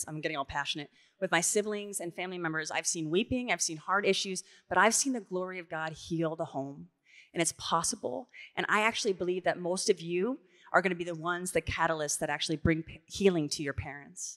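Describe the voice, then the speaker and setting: Animated and very fast, a woman with a fairly low pitch speaks with ordinary pitch variation against a quiet background. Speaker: youth speaker; speaker. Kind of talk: panel Q&A at a conference. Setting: stage with audience. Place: stage. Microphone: handheld.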